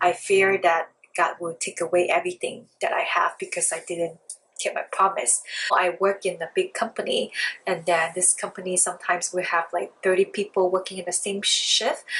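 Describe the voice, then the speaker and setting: A woman speaks with a Chinese accent at a moderate pace. Her medium-pitched voice stays monotone, with flat intonation. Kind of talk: casual talk to camera.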